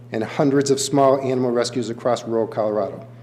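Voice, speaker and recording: Fairly even intonation and a fairly quick pace from a man, noticeable background noise throughout. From New England. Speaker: animal shelter director. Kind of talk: public comment at county board meeting. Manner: fast; passionate.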